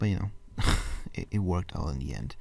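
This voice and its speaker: A man whispers quietly. Vocal fry runs through his voice. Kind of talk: casual late-night talk to camera. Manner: whispered; quiet, rambling.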